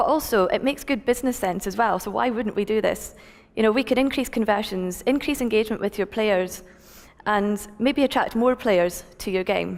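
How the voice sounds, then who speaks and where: A woman speaks with a Scottish accent at a fairly high pitch. Her pitch varies in an ordinary way. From Scotland. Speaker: tech company founder, conference speaker. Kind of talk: conference talk. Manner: fast.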